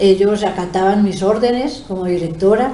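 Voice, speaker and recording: With audible room echo and noticeable background noise, a woman speaks at a moderate pace in a medium pitch with ordinary pitch variation. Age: 70s. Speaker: retired schoolteacher and principal. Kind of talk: interview. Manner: hesitant, many filler sounds.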